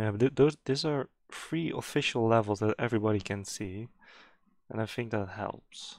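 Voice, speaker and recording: A man with a non-native accent speaks at a moderate pace and medium pitch, with ordinary pitch variation. The recording is very clean, the background silent. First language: not English. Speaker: day trader. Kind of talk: live trading commentary.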